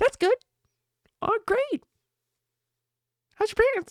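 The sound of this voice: A put-on character voice, extremely high in pitch and fairly slow in pace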